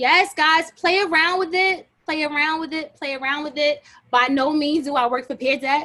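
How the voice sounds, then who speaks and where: A raised, projected voice with a bright, sharp tone moves at a moderate pace. Intonation stays fairly even against a quiet background. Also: woman, high pitch for a woman. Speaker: teacher leading a workshop. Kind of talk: workshop tutorial. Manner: casual. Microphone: video call.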